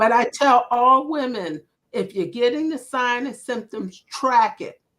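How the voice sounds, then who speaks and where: Her voice high in pitch, a woman speaks at a fairly slow pace with an animated tone. Her loudness swings widely while her pitch varies in an ordinary way. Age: 60s. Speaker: menopause lifestyle health practitioner. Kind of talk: interview chat.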